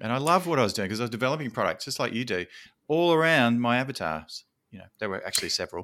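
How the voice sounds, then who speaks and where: A man with an Australian accent at medium pitch, very fast, with a bright, sharp tone, lively intonation and big swings in loudness, on a very clean recording with a silent background. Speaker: podcast host. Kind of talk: casual interview chat; podcast intro announcements.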